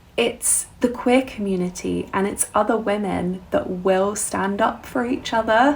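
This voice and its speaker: A woman with a southern English accent speaks at a very slow pace and fairly high pitch. Her voice is somewhat breathy, with ordinary pitch variation. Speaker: musician and vlogger. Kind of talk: casual vlog monologue.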